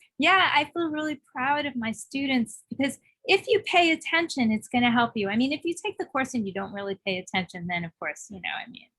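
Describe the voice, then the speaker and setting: With a New York accent, a woman speaks at a fairly quick pace with hardly any pauses, her high pitch swinging very widely, her loudness shifting in big swings and her tone bright and sharp. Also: dry, close sound with no echo. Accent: heavy New York. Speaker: songwriter and music course teacher. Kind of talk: casual interview chat. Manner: fast.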